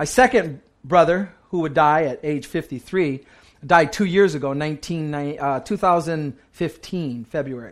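In a very clean recording with a silent background, a man with a fairly high pitch speaks at a moderate pace in an animated tone with ordinary pitch variation. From US, Puerto Rican family. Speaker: pastor. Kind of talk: sermon.

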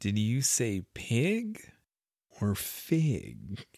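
A put-on character voice, low in pitch. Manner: sly, amused, philosophical.

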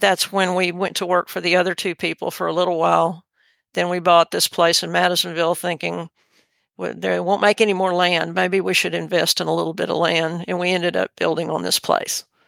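On a very clean recording with a silent background, the speaker talks at a fairly quick pace with a Texan accent. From Texas Gulf Coast. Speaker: horse trainer. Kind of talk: interview. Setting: studio.

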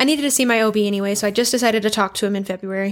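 A woman in a western US accent speaks at a fairly high pitch with ordinary pitch variation. The recording is very clean, with a silent background. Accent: western American. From Idaho, US. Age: 20s. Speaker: podcast co-host. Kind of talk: casual chat.

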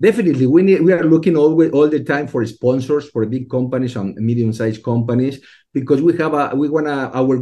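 Very fast speech from a man with a dark, mellow tone. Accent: Spanish. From Mexico. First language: Spanish. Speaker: STEM education program leader. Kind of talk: interview. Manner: halting.

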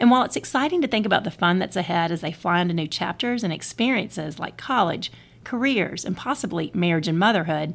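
Talking at a fairly quick pace, a woman with an unremarkable speaking voice uses lively intonation at a medium pitch. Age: 40s. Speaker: podcast host and author. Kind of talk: speech at a birthday party. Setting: party with audience.

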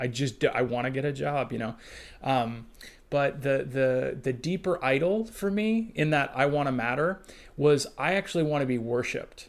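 With lively intonation and a fairly high pitch, a man in an unremarkable speaking voice talks at a moderate pace on a very clean recording with a silent background. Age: 30s. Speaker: church consultant. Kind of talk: casual chat.

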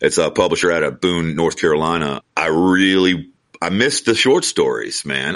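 A man with a Southern US accent talks at neither a fast nor a slow pace. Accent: Southern US (Georgia). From US South, Georgia. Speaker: novelist. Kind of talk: casual interview chat.

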